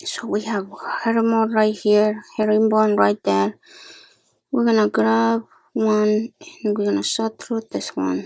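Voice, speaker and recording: Soft-spoken, a woman talks at a fairly slow pace. Her recording is very clean, with a silent background. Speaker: beading tutorial maker. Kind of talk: tutorial.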